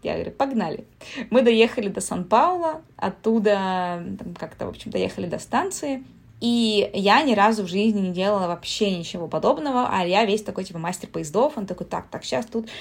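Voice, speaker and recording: A woman with an unremarkable speaking voice talks at medium pitch and a moderate pace, her loudness swinging widely on a very clean recording with a silent background. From Siberia, Russia. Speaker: traveler and writer. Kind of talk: casual chat.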